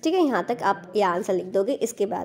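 Against noticeable background noise, a woman's voice moves in very wide pitch swings. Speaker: teacher explaining school worksheets. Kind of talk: tutorial.

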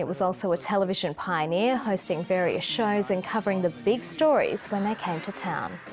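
A woman of medium pitch at a moderate pace, lively in intonation with hardly any pauses, over music in the background. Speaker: TV news presenter. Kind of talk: TV news report.

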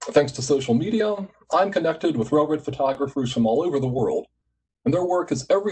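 A man with an American accent, very fast and lively in intonation, fairly high in pitch, somewhat breathy, with a dark, mellow tone. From US, West Virginia. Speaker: executive director of a photography nonprofit; conference host, presenter. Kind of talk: conference presentation. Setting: online video conference. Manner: formal. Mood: warm, reflective. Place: home room. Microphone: video call.

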